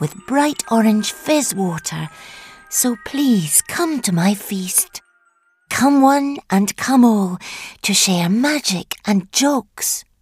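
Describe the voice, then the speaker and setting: Using a put-on character voice, a woman speaks at a fairly high pitch and a very slow pace. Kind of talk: dark children's story acting. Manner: falsely sweet, scheming, coaxing.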